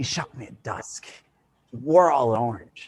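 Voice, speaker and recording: A man puts on a character voice. He speaks at a moderate pace and medium pitch. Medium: solo performance.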